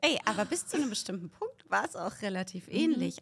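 With a somewhat breathy voice, a woman talks at a fairly quick pace. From Berlin, Germany. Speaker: fitness expert and author. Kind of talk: casual chat. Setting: studio.

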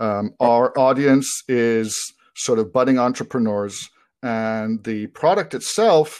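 On a very clean recording with a silent background, a normal speaking voice moves at a fairly slow pace with ordinary pitch variation. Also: man. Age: 40s. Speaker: e-commerce seller and podcast host. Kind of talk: casual interview chat.

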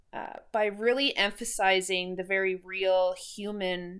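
A woman with a Canadian Prairie accent, medium pitch and ordinary pitch variation. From Saskatchewan, Canada (Moose Jaw). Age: 30s. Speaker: podcast host and mental health peer support volunteer. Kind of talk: interview answers. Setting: in-person studio conversation.

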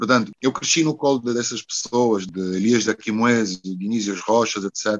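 Fairly even in intonation and fairly low in pitch, a man's voice moves at a moderate pace. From Angola (Luanda), also Porto. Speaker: singer-songwriter. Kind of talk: interview. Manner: halting.

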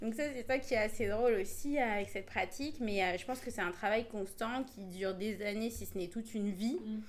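A woman speaks at a fairly quick pace with hardly any pauses, in an ordinary speaking voice. Her pitch is fairly high, with ordinary pitch variation. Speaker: podcast co-host. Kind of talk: casual chat.

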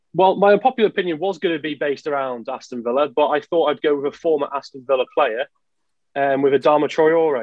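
A man talks at a very fast pace. His pitch is fairly high, with ordinary variation. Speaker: Aston Villa fan guest. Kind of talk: casual chat about football.

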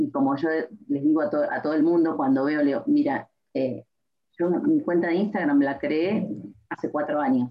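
A woman speaks in a very deep, low voice. Her pitch varies in an ordinary way at a moderate pace. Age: 40s. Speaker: psychologist and HR consultant. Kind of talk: interview.

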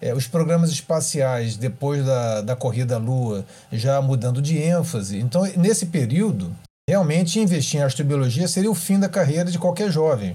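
A man with a fairly high pitch and a dark, mellow, somewhat breathy tone speaks with lively intonation and very even loudness. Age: 50s. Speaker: astrophysicist and professor. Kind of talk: interview, explanatory.

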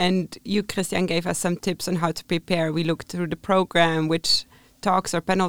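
A plain, everyday voice with fairly even intonation, in a very clean recording with a silent background and a dry, close sound with no echo. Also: woman. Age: 20s. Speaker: tourism management student. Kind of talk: casual chat.

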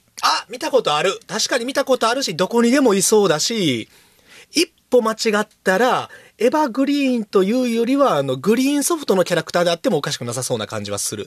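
A man speaks very fast with a high pitch and very wide pitch swings. The sound is dry and close, with no echo. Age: 30s. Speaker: podcast host, bookshop owner. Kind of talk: casual chat.

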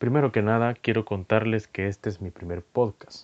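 With a normal speaking voice, a man talks at a moderate pace and fairly even intonation, the sound dry and close with no echo and the background quiet. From El Salvador. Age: 20s. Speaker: podcast host. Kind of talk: solo podcast monologue.

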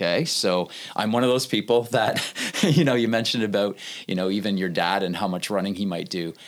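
A man's normal speaking voice with a Canadian accent, fairly low in pitch with ordinary variation, at a fairly quick pace. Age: 50s. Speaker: youth ministry staff member. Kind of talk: faith-based interview conversation.

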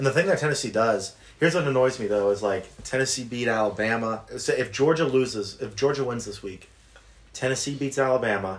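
A man with an American accent uses an ordinary speaking voice at medium pitch, a fairly quick pace and ordinary pitch variation. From US South. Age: 20s. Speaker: podcast co-host. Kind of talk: casual chat.

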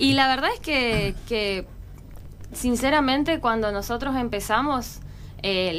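Audible room echo surrounds this woman's voice. She speaks at a fairly high pitch with ordinary pitch variation. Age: 30s. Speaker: local political candidate. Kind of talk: radio interview.

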